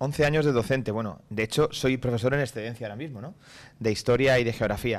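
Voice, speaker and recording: Talking at a very fast pace, a man lets his loudness swing widely. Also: medium pitch for a man, ordinary pitch variation. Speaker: mayor. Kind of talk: live radio interview answering students. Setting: council chamber, live broadcast. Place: hall. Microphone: podium.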